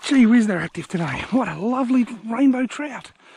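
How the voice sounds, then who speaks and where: Over noticeable background noise, a man with an Australian accent speaks at an extremely high pitch. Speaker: angler. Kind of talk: live fishing commentary. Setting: outdoors.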